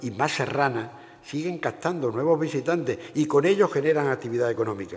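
Over noticeable background noise, a man with an Andalusian accent speaks at a medium pitch and a moderate pace with lively intonation. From Andalusia, Seville province. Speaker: provincial council president, politician. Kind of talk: formal speech. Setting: stage with audience.

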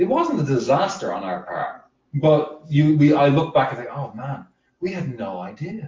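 The voice has vocal fry and lively intonation. The pace is fairly slow. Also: man. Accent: Irish. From rural Ireland. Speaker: soccer fan group leader. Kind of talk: casual chat. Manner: playful.

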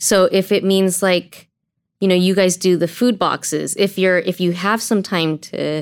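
A woman speaks in a normal speaking voice with an American accent, at a fairly slow pace. The recording is very clean, with a silent background. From Azusa, Southern California. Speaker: churchgoer, gang ministry participant. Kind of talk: casual podcast interview. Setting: studio at church.

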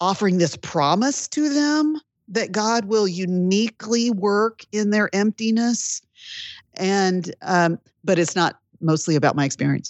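A woman with a normal speaking voice talks at a fairly slow pace in a medium pitch, her intonation lively and her loudness very even. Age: 50s. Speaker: Bible teacher and author. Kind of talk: interview.

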